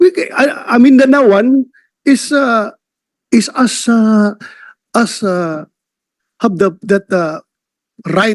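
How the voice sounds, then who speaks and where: The sound is dry and close, free of echo. Lively intonation runs through the speech. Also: man. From Mindanao, Philippines. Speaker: senator at a hearing. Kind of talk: senate hearing questioning.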